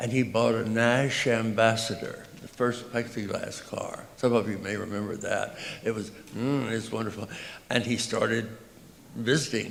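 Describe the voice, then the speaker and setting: Over noticeable background noise and audible room echo, a man talks at a moderate pace in a medium pitch with monotone, flat intonation. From US South, Texas (Tyler). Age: 80s+. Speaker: composer. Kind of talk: speech to audience. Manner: halting.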